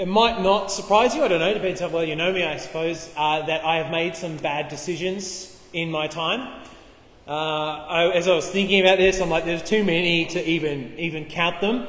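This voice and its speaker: A man's high-pitched voice at a fairly quick pace, with audible room echo. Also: fairly even intonation. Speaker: preacher. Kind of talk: sermon. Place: hall. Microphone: camera far.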